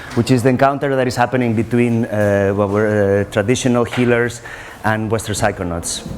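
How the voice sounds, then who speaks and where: A man at a medium pitch, fairly quick, with very even loudness, fairly even intonation and noticeable background noise. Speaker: researcher on ayahuasca, NGO worker. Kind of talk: conference talk. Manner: very fast.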